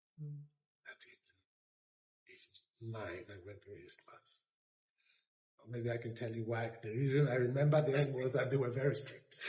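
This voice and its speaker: A man with medium pitch speaks at a moderate pace with fairly even intonation. His voice is somewhat breathy, with long, frequent pauses. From Benin City, Edo State, Nigeria. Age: 70s. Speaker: retired diplomat. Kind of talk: oral history interview answer.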